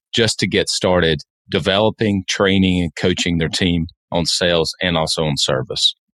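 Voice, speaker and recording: Heard with a dry, close sound and no echo, a man speaks at a very deep, low pitch. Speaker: podcast host. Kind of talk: interview.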